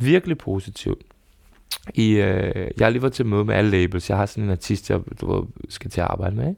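A man's normal speaking voice, fairly low in pitch and fairly quick in pace, with ordinary pitch variation, on a very clean recording with a silent background. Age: 30s. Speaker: podcast host. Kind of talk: casual chat. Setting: studio.

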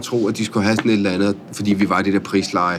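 Noticeable background noise sits behind a man talking at a very fast pace. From Italy-born, Norwegian mother, raised in Denmark. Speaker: chef and restaurateur. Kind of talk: interview conversation. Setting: on location at his restaurant. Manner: hesitant, many fillers and repeats.

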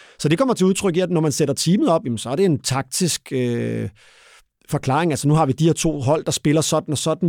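Recorded very cleanly against a silent background, with dry, close sound and no echo, a man talks at a moderate pace in a fairly high pitch and with ordinary pitch variation. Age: 40s. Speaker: retired football referee. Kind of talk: interview. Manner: halting.

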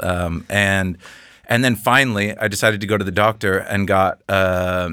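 On a very clean recording with a silent background, a man with an American accent speaks at a very deep, low pitch in a bright, sharp tone with fairly even intonation. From US Pacific Northwest (Seattle). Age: 30s. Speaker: fashion photographer and podcast host. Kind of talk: casual chat. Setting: studio. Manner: nervous.

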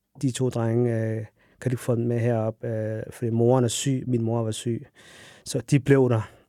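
The man speaks at a very slow pace. His intonation stays monotone and flat. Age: 30s. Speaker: refrigeration technician and runner. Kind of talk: casual chat. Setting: studio.

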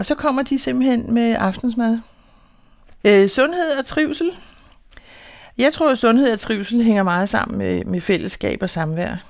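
Speaking at a fairly slow pace, a woman with a fairly high pitch and lively intonation leaves long, frequent pauses. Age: 60s. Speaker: beekeeper and housing association resident. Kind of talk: casual interview; reading aloud.

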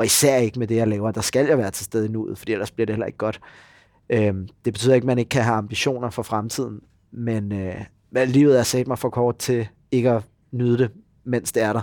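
On a very clean recording with a silent background, a man with an unremarkable speaking voice talks at a medium pitch and fairly quick pace with fairly even intonation. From Denmark, Copenhagen area (Gladsaxe). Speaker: actor. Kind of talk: casual chat. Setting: pub, morning.

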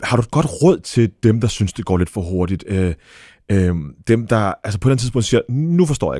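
Fast-moving, at a fairly quick pace, a man speaks in a dark, mellow tone with lively intonation and big swings in loudness. The recording is very clean, with a silent background. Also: medium pitch for a man, dry, close sound with no echo. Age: 40s. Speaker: podcast host. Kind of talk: interview.

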